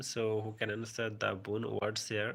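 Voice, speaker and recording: A man with a Bengali accent speaks at a fairly slow pace. His medium-pitched voice has a bright, sharp tone. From India, West Bengal. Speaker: English teacher. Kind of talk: live stream vocabulary class. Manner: halting.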